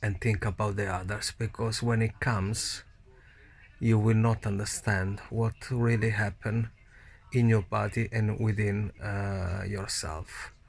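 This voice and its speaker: In a very clean recording with a silent background, a man with an Italian accent speaks at a fairly slow pace. His fairly low voice is somewhat breathy and stays monotone and flat. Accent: Italian accent, non-native English. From Italy. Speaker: COVID-19 survivor vlogger. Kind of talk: personal testimony. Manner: halting.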